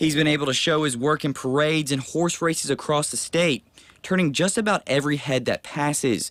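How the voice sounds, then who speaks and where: A man with a plain, everyday voice speaks at a fairly high pitch and a fairly quick pace. His loudness stays very even, with ordinary pitch variation. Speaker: TV news reporter. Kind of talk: TV news report.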